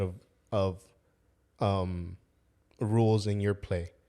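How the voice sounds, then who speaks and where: This man speaks with fairly even intonation. The recording is very clean, with a silent background. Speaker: youth soccer coach. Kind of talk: casual chat. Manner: fast.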